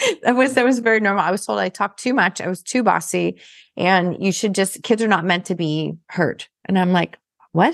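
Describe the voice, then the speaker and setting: A woman's medium-pitched voice shows vocal fry and ordinary pitch variation. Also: fairly quick pace, quiet background. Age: 50s. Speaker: podcast host and business coach. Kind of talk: interview.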